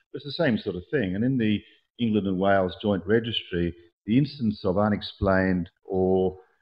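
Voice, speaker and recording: In an Australian accent, a man talks at a fairly quick pace. His pitch is fairly low, with ordinary variation. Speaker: orthopedic surgeon. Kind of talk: conference talk. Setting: conference presentation. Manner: fast; hesitant with fillers.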